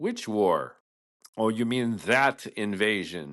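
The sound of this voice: In a put-on character voice, a man speaks at a very slow pace with medium pitch and a resonant sound. His intonation is lively, and the background is quiet.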